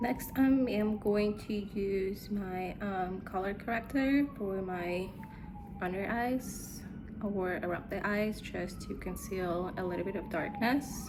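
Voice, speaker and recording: A woman with a Russian accent, a relaxed tone, medium pitch, and a very slow pace, with audible room echo and noticeable background noise. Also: ordinary pitch variation. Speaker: beauty vlogger. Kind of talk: makeup tutorial. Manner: casual, relaxed.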